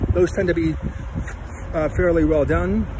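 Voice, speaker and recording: This man's voice sounds dry with no echo, and there is noticeable background noise behind him. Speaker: travel vlogger. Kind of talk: casual vlog commentary. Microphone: phone near.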